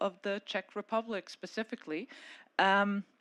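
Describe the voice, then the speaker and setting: In a quiet background, a woman talks at a fairly slow pace. Her voice sits at medium pitch, and the sound is dry and close with no echo. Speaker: panel moderator, policy advisor. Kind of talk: conference panel moderation. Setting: conference stage with audience and microphone. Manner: loud.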